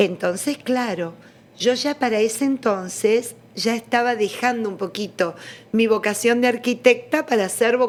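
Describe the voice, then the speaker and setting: A woman's plain, everyday voice at a fairly high pitch and fairly slow pace. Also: ordinary pitch variation. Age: 60s. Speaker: religious studies scholar. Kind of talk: interview testimony.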